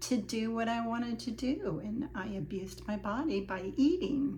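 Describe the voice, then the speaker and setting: Lively intonation marks this woman's fairly high-pitched speech. Audible room echo and noticeable background noise surround her. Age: 70s. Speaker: vlogger sharing personal weight loss journey. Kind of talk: personal testimony monologue. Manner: hesitant, many fillers.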